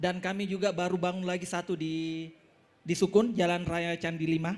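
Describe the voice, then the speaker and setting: Monotone, flat intonation holds throughout delivery at a moderate pace. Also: man, high pitch for a man. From Makassar, South Sulawesi, Indonesia. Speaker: language school owner, business presenter. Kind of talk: business presentation. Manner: halting, with fillers.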